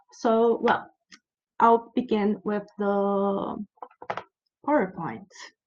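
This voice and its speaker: The speaker has a Brazilian Portuguese accent. The pace is very slow. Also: woman. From Brazil, Curitiba. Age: 30s. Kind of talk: conference presentation. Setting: virtual conference. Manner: halting.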